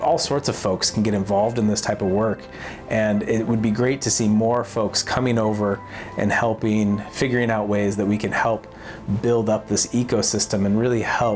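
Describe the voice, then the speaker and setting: A man speaks at a moderate pace in a fairly low voice, his loudness very even and his pitch varying in an ordinary way, with music playing in the background. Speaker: international development technology worker. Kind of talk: scripted vlog talk to camera.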